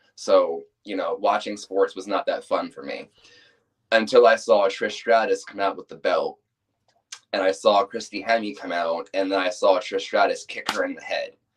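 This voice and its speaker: Here a man talks at a moderate pace. His loudness swings widely. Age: 20s. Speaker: professional wrestler. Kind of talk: interview.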